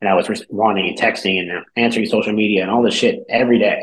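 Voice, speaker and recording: Very fast speech with an American accent. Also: man. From California. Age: 30s. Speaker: business owner. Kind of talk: interview. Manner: casual.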